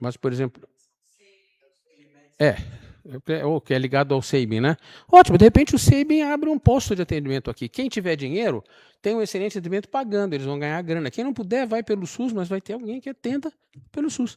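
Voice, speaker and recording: A man at a high pitch and fairly quick pace, dark and mellow in tone, with very wide pitch swings, long, frequent pauses and a dry, close sound with no echo. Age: 70s. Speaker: resident speaking at public hearing. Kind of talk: public hearing comment. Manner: halting, with repetitions.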